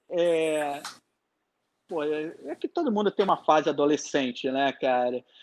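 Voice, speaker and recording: A man speaks at a very slow pace with a fairly high pitch and ordinary pitch variation. The sound is dry and close with no echo, over a quiet background. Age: 30s. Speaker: concert promoter. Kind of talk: live-streamed interview, casual chat.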